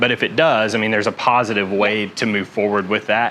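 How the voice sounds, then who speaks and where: A man talks at a fairly quick pace in a fairly low voice with fairly even intonation. Noticeable background noise can be heard. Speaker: certified auctioneer and commercial sales associate. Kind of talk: interview answer.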